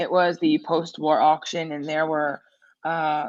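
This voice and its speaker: Here a woman is speaking. She goes at a fairly slow pace. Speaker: crypto news co-host. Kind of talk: casual chat. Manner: loud.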